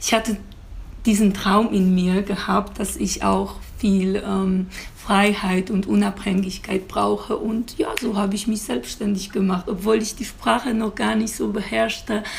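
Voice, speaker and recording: A woman speaks with a Polish accent at a very slow pace. Her pitch is medium and her intonation fairly even. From Poland. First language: Polish (speaking German). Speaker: beautician. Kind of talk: interview. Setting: outdoor terrace.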